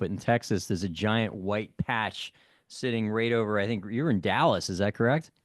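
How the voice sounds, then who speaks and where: A man with an unremarkable speaking voice talks at medium pitch and a fairly quick pace, in a dry, close sound with no echo and a quiet background. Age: 50s. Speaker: podcast host. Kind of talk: interview.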